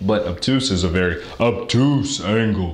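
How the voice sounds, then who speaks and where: A man's put-on character voice, fairly low in pitch, at a moderate pace with audible echo. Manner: exaggerated, teaching demo.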